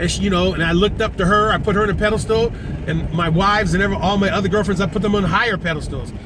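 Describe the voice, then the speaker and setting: With an American accent and a high pitch, a man talks at a very fast pace with fairly even intonation and very even loudness, amid noticeable background noise and audible room echo. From US West. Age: 60s. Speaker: vlogger. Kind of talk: casual monologue. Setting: in a car.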